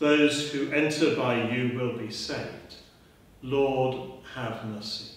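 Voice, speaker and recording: A man speaks with strong room echo around his voice. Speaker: priest leading a service. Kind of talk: liturgical prayer. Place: church. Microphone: camera far.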